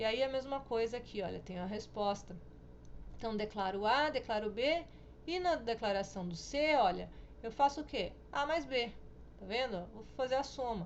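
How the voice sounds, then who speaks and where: Using lively intonation, a woman speaks at a moderate pace in a fairly high voice, with long, frequent pauses and audible room echo. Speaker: programming teacher. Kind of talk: recorded lecture tutorial.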